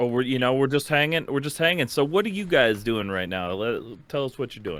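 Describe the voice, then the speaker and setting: At a fairly quick pace, a man with a medium-pitched voice and a Minnesotan accent shows very wide pitch swings. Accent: Minnesota. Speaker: music podcast host. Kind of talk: casual chat.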